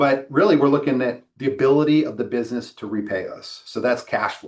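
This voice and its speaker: A man speaks at a moderate pace in a medium pitch. It is a normal speaking voice. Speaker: loan officer. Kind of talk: webinar presentation.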